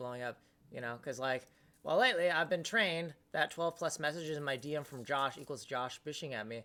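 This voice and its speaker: Very deep and low in pitch, a woman talks at a fairly quick pace in a bright, sharp tone. Her pitch varies in an ordinary way, on a very clean recording with a silent background. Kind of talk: casual chat. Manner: fast.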